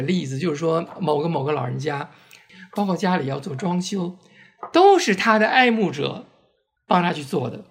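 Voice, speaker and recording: A man speaks in a voice that is high-pitched for a man. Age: 60s. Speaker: LGBT community volunteer and oral history project organizer. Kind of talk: casual interview conversation.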